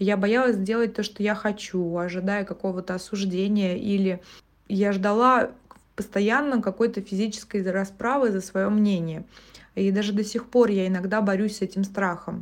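A woman's plain, everyday voice at a medium pitch, with fairly even intonation and a moderate pace. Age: 20s. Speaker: podcast host. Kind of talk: personal monologue podcast.

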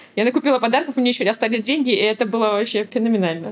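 Noticeable background noise accompanies a woman whose voice is fairly high in pitch. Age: 30s. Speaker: mother of three. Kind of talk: casual interview.

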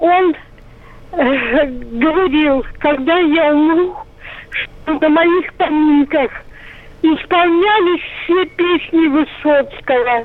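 A woman's high-pitched voice at a very slow pace, with ordinary pitch variation and noticeable background noise. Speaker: radio caller. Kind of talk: phone-in reminiscence. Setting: phone call.

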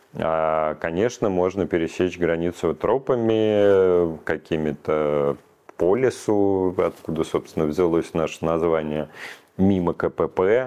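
Very slow and very even in loudness, a man speaks with a very deep, low pitch, a dark, mellow tone and ordinary pitch variation. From Russia. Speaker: human rights activist. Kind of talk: interview.

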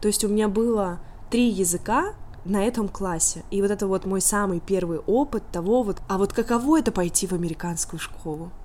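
A woman's voice has a dark, mellow tone and medium pitch. She keeps a moderate pace with ordinary pitch variation. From Russia, Tolyatti. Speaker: YouTuber and immigrant. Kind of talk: interview. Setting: remote call.

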